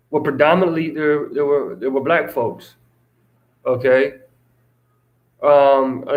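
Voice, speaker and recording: Audible room echo surrounds a man with an American accent who speaks fairly slowly at a fairly high pitch, with fairly even intonation and long, frequent pauses. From Russia, then US from age 10. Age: 30s. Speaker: vlogger. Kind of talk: casual live stream chat. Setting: live stream. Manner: halting, many fillers and repeats.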